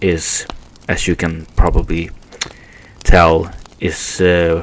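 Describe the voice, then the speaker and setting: Over noticeable background noise, a man speaks with a non-native accent. His pitch is very deep and low, his intonation monotone and flat. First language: Swedish. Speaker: podcast host. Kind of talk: casual monologue podcast. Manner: halting, many fillers.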